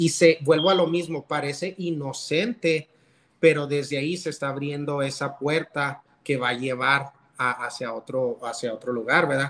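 An ordinary speaking voice from a man, fairly high in pitch, at a fairly slow pace with fairly even intonation. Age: 30s. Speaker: loan officer sharing marriage testimony. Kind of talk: testimony.

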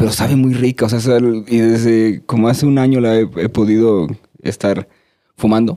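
Moving at a moderate pace, a man speaks in a dark, mellow tone at medium pitch with fairly even intonation. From Veracruz, Mexico (Córdoba). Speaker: musician and music producer. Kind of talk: casual chat.

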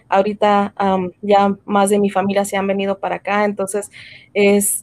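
The speaker is a woman with a medium pitch, talking at a fairly slow pace. The sound is dry and close, with no echo. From Mexico, raised in the US from age five. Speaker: entrepreneur, tax and insurance business owner. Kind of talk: casual interview.

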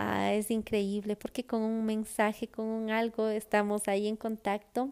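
Her tone dark and mellow, a woman speaks at a very slow pace. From Ecuador. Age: 40s. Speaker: podcast host. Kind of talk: casual personal monologue. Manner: hesitant, many fillers.

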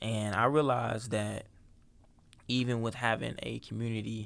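At a fairly slow pace, a man talks with fairly even intonation at a medium pitch. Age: young. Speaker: podcast co-host. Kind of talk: casual chat.

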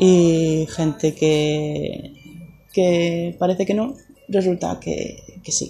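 Speaking very slowly, this woman keeps a fairly low pitch and fairly even intonation. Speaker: podcaster. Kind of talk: personal story monologue.

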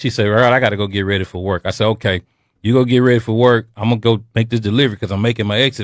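A fairly low-pitched man at a very fast pace, very clean recording with a silent background. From US South. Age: 50s. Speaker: comedian. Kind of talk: casual chat.

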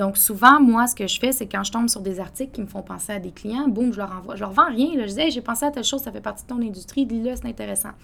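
A woman's fairly high voice at a very fast pace, with hardly any pauses, ordinary pitch variation and big swings in loudness. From Quebec City, Quebec. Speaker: coffee entrepreneur. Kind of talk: interview.

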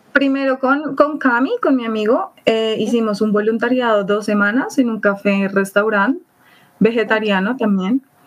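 A woman with an ordinary speaking voice, a fairly high pitch, ordinary pitch variation and a moderate pace. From Colombia, Bogotá. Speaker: traveler. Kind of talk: casual chat.

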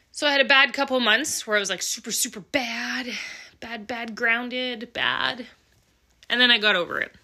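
Speaking at a moderate pace with a Western Canadian accent, the woman has a high pitch, a bright, sharp tone and fairly even intonation. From Alberta, Canada (small town). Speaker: podcast host, welder and mechanic. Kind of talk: casual monologue.

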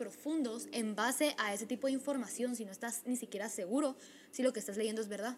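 Pitch moves in an ordinary way as a woman speaks. Her pace is moderate. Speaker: podcast co-host. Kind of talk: casual chat.

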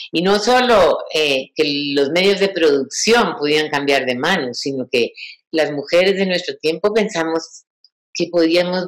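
A woman speaks very slowly in a fairly low voice. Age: 60s. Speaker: feminist activist and lecturer. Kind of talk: lecture.

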